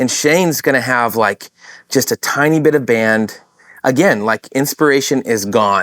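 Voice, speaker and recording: A man with an ordinary speaking voice talks at a medium pitch and moderate pace with ordinary pitch variation. The recording is very clean, with a silent background. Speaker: worship leader. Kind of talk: casual chat.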